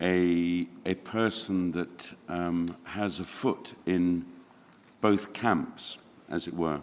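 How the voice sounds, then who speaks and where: Speaking very slowly, a man with a very deep, low voice keeps his intonation fairly even. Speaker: opera singer. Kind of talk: press conference. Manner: halting.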